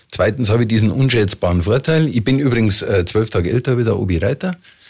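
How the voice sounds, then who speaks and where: At a fairly quick pace, a man talks in a somewhat breathy voice, his pitch varying in an ordinary way. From Munich, Bavaria. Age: 60s. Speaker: mayoral candidate. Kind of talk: radio interview. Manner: hesitant with fillers.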